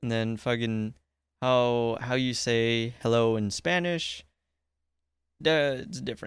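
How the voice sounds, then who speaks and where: Pausing long and often, a man speaks at a very slow pace with medium pitch and ordinary pitch variation. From Guam. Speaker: podcast host. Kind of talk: casual chat.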